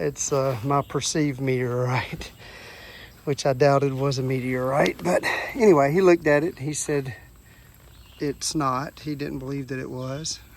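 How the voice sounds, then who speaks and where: With a Southern US accent and fairly high pitch, a man speaks in fairly even intonation, pausing long and often, over noticeable background noise. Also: moderate pace. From US South. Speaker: rockhounding vlogger. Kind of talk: casual outdoor vlog narration. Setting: outdoors by a creek. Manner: casual, with fillers and restarts.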